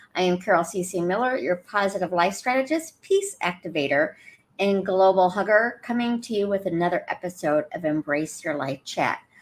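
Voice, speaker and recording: Lively intonation marks a woman's medium-pitched voice. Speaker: life coach. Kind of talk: livestream talk to viewers. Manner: fast.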